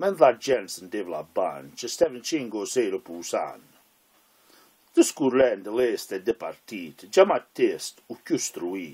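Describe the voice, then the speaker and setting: A man talks at a very slow pace. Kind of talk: poetry reading.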